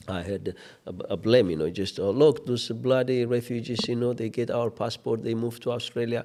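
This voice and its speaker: A man with an Ethiopian accent, medium in pitch, dark and mellow in tone, at a moderate pace with ordinary pitch variation. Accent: Ethiopian accent, kept. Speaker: refugee support organization manager. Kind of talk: interview conversation. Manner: animated.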